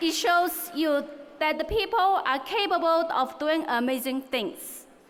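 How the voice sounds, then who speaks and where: Fairly slow, lively-intoned speech in a Chinese accent, very even in loudness, with noticeable background noise and audible room echo. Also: woman, extremely high pitch for a woman. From China. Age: 30s. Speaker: valedictorian, student. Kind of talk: graduation speech. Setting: stage with large audience.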